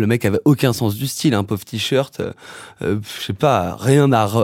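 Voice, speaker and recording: Using a normal speaking voice, a man talks at a moderate pace with ordinary pitch variation. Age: 20s. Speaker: musician and songwriter. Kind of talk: casual interview chat.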